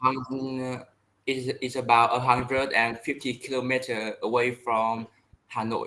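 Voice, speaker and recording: Speaking with a Vietnamese accent, a man uses a bright, sharp tone at medium pitch, with monotone, flat intonation and a fairly slow pace. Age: 20s. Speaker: English learner. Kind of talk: online language lesson. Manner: halting.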